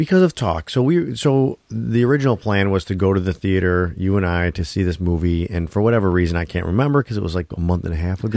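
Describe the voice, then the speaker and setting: A man with a very deep, low pitch races along at a very fast pace, with lively intonation and hardly any pauses. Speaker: podcast co-host. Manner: casual, conversational, swears freely.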